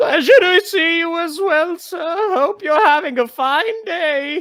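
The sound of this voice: A woman uses a put-on character voice at an extremely high pitch, fairly bright in tone, speaking slowly with ordinary pitch variation.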